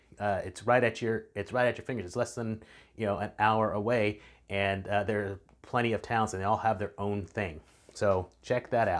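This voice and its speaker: With a Texan accent, a man talks at a moderate pace in a fairly low pitch with fairly even intonation, on a very clean recording with a silent background. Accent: Texan American English. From Texas Hill Country. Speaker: real estate agent. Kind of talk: casual video talk. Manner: halting, many fillers.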